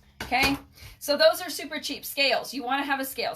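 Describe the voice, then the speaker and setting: A woman with a high pitch speaks in a raised, projected voice at a moderate pace. Her tone is bright and sharp. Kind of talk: live stream tutorial. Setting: home mailing room. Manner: animated.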